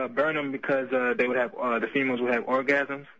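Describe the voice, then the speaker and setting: A man talks fairly quickly while background noise is noticeable throughout. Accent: American. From Chicago. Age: 20s. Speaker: college student caller. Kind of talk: phone-in call. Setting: phone call. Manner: halting, many fillers.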